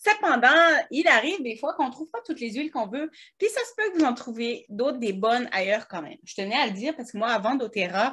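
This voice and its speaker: Talking at a very fast pace, a woman uses a fairly high pitch, lively intonation and big swings in loudness. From French Alps, France. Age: 30s. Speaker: wellness products seller, podcast co-host. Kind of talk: casual chat. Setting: studio in a shop, seated at a computer. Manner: stammering a bit.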